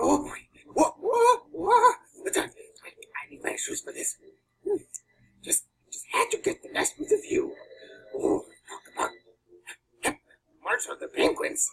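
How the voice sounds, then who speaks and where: Putting on a character voice at an extremely high pitch, a man speaks at a fairly slow pace with long, frequent pauses. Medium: voice reel.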